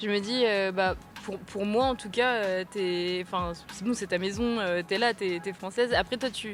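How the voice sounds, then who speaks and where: Music plays in the background as a woman speaks slowly-ish, at a fairly slow pace, with medium pitch and fairly even intonation. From France, Malagasy family. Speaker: podcast host. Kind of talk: casual interview chat.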